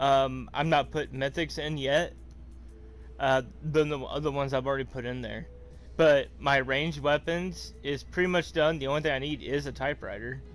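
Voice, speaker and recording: Background music is playing. A man talks over it at a moderate speed. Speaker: gaming streamer. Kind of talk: gameplay tutorial. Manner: halting, many fillers.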